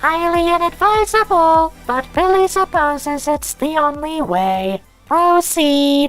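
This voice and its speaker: In a squeaky, high-pitched cartoonish character voice, someone speaks at a fairly slow pace over faint music in the background. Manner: clipped, formal, third-person.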